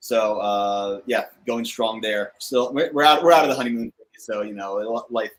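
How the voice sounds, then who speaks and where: A man speaks at a fairly slow pace with an American accent, medium pitch and ordinary pitch variation. His loudness swings widely in a normal speaking voice. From New Jersey. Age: 30s. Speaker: cigar channel host, coast guard officer. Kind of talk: casual chat. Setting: live stream video call. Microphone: echo on the stream.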